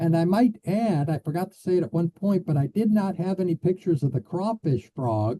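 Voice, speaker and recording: A man with a Midwestern American accent, high-pitched, with a dark, mellow tone, lively intonation, a fairly quick pace with hardly any pauses, big swings in loudness, and a dry, close sound with no echo. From US Midwest (Illinois). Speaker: biologist. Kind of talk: Q&A after lecture. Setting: video call.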